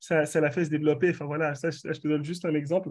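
A man's voice with a fairly high pitch. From Benin, moved to France at 14. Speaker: branding consultant. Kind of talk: interview.

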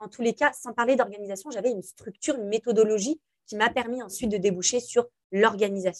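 A woman's fairly high voice at a very fast pace, with ordinary pitch variation, big swings in loudness, and a dry, close sound with no echo. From France, Algerian family. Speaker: influencer and entrepreneur. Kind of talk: interview conversation.

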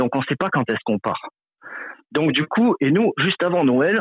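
A man's voice with ordinary pitch variation. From France. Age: 30s. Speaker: truck driver. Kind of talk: interview. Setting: phone call. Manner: halting.

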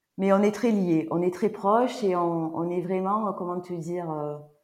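A woman's voice, fairly low in pitch, with ordinary pitch variation. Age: 50s. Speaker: sophrologist. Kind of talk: casual chat. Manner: halting.

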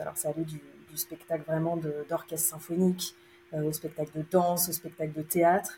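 With a very deep, low voice, a woman speaks at a fairly quick pace in a monotone, flat way, her tone dark, mellow and somewhat breathy. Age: 30s. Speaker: opera stage manager. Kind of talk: interview.

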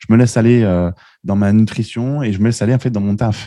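A man's fairly low voice at a moderate pace, dry and close with no echo, against a quiet background. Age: 30s. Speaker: web marketing entrepreneur. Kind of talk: casual interview. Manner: halting, with frequent repetitions.

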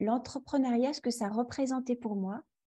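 The background is quiet as a woman speaks in a high pitch. Her tone is dark and mellow, and her pitch varies in an ordinary way. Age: 40s. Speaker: yoga teacher. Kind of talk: interview. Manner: halting.

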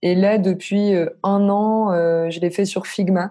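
Her tone is dark and mellow. The woman's intonation is monotone and flat. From northern France (Lille). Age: 20s. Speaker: freelance no-code developer. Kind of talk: casual interview.

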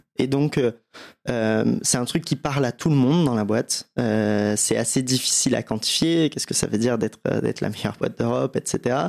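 Here a man talks at medium pitch and moderate pace with ordinary pitch variation. The sound is dry and close with no echo. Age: 30s. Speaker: agency founder. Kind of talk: interview. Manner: halting, many fillers.

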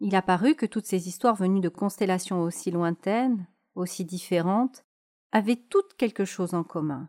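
In a very clean recording with a silent background, dry and close with no echo, a woman uses an ordinary speaking voice at a medium pitch with ordinary pitch variation. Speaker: podcast host. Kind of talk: bedtime story telling, a fairy tale read aloud in a calm soothing tone. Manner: slow, gentle, soothing.

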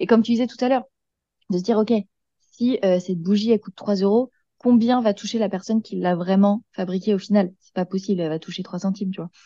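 At a fairly quick pace, a woman speaks with a dark, mellow tone that is somewhat breathy, with ordinary pitch variation. The sound is dry and close, with no echo. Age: 20s. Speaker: eco-lifestyle content creator. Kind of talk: casual interview chat.

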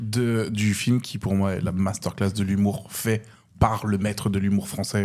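The delivery is monotone with flat intonation, moving at a fairly slow pace. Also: man. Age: 30s. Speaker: stand-up comedian and event announcer. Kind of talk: casual chat.

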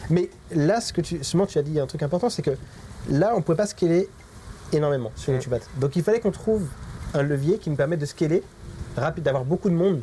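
The speaker goes at a very fast pace with ordinary pitch variation, broken up by long, frequent pauses. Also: man, fairly high pitch for a man. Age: 30s. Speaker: digital marketing agency owner. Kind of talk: interview.

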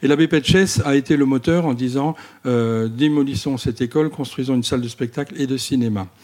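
A man with an ordinary speaking voice talks fairly quickly at medium pitch, varying it in an ordinary way. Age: 50s. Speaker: volunteer cinema association president. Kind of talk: interview. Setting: in a village cinema.

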